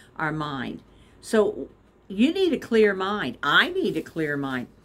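The pitch of this woman's voice swings very widely. She talks at a fairly slow pace. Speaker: devotional vlogger. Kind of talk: devotional talk with scripture reading. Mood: warm, encouraging. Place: home room. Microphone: phone near.

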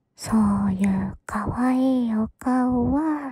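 The voice is soft-spoken and very slow. The sound is dry with no echo, and the background is quiet. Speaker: voice actor playing a character. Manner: soft, close, teasing ASMR murmur.

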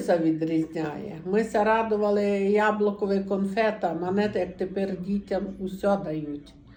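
A woman with a Transcarpathian accent speaks at a very slow pace. Her tone is dark and mellow, and her intonation stays fairly even. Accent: Transcarpathian Ukrainian dialect. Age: 60s. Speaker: dialect informant. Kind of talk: dialect interview answer, childhood memories.

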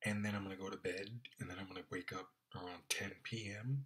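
A man with a fairly low pitch speaks in a flat monotone with a bright, sharp tone. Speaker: vlogger. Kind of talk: casual vlog chat. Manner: drowsy, slow, heavy-lidded late-night talk. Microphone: phone near.

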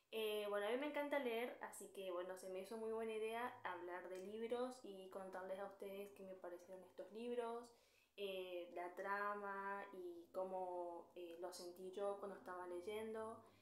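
Audible room echo surrounds a woman at a medium pitch. She speaks at a fairly slow pace with hardly any pauses. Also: fairly even intonation. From Argentina. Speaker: book youtuber. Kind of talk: casual talk to camera. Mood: friendly, cheerful. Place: home room. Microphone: phone near.

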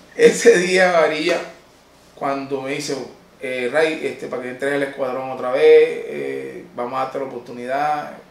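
A man at a moderate pace with audible room echo. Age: 30s. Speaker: comedian. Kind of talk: personal life-story monologue. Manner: halting. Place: office.

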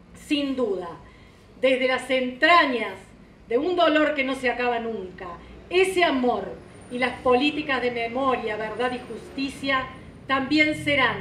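Amid light background noise and audible room echo, a woman with a high voice and lively intonation speaks with long, frequent pauses. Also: fairly slow pace. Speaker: presenter. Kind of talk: formal speech read aloud. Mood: solemn, heartfelt. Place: hall. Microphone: podium.

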